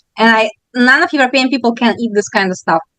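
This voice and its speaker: With a Russian accent, a woman speaks at a fairly high pitch with ordinary pitch variation. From Russia, Moscow. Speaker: bakery owner. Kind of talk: interview. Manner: fast.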